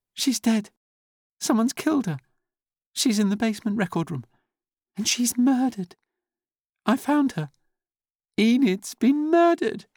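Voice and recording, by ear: A man's put-on character voice at an extremely high pitch, slightly mellow in tone, with lively intonation, a fairly slow pace and long, frequent pauses, in a dry, close sound with no echo and a very clean recording with a silent background.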